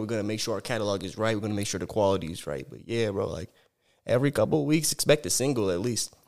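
Here a man talks at a very fast pace in a medium pitch. His intonation is lively. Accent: American. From Arizona (Sierra Vista). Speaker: rapper. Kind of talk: casual chat.

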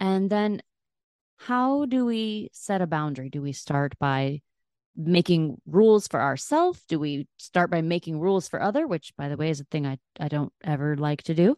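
Against a quiet background, a woman with a normal speaking voice talks at a moderate pace, her fairly low pitch carried by lively intonation in a dry, close sound with no echo. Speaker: podcast host and chakra coach. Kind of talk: interview, with scripted intro.

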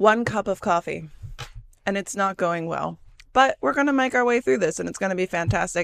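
A woman speaks with a Midwestern American accent at a fairly quick pace. Her pitch is medium, and the recording is very clean with a silent background. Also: lively intonation. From US Midwest. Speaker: podcast host. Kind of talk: solo casual monologue. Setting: solo recording on camera. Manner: stumbling over words.

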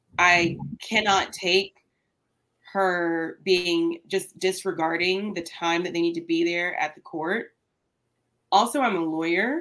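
Speaking very slowly with long, frequent pauses, a woman with an American accent uses a fairly low pitch, a bright, sharp tone and fairly even intonation. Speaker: lawyer and guest co-host. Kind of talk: casual chat. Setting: video call.

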